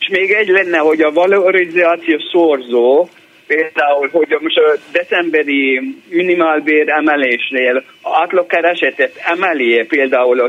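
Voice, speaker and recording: A man speaks at a fairly slow pace in a fairly high pitch with ordinary pitch variation. Noticeable background noise sits behind him. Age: 60s. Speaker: retiree caller. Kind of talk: phone-in question. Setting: phone call. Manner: halting.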